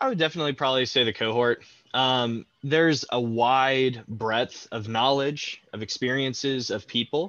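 A man speaks at medium pitch and a moderate pace in a plain, everyday voice with fairly even intonation. The sound is dry with no echo, and the background is quiet. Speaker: university student. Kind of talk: interview. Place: home room.

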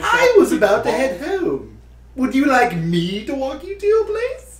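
A put-on character voice is high in pitch, with very wide pitch swings. Background noise is clearly audible. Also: moderate pace. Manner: cold, clinical, curious.

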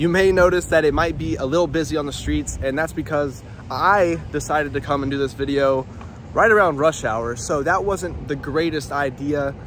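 A man speaks at a moderate pace with ordinary pitch variation, the sound dry with no echo and light background noise present. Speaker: real estate agent vlogger. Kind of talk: casual vlog chat. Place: street. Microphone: phone near.

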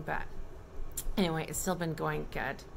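A woman talks at a fairly quick pace, noticeable noise running in the background. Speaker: family vlogger. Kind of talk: casual vlog chat. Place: home room. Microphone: phone near.

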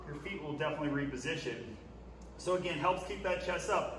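Noticeable background noise under a man's raised, projected voice. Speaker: fitness coach. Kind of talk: tutorial. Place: gym. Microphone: camera far.

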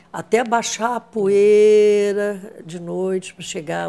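A woman's medium-pitched voice, dark and mellow in tone, with fairly even intonation. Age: 80s+. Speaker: actress. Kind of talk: interview answer. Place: home room. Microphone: lapel.

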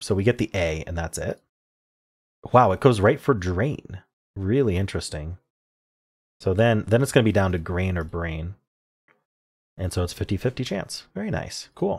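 A somewhat breathy man's voice of fairly low pitch, with long, frequent pauses. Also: ordinary pitch variation, moderate pace. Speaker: puzzle video creator. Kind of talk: casual commentary. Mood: cheerful, pleased. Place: home room.

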